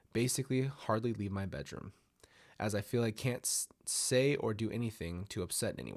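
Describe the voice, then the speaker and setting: With ordinary pitch variation and a moderate pace, a man talks on a very clean recording against a silent background. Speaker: story narrator. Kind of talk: reading aloud.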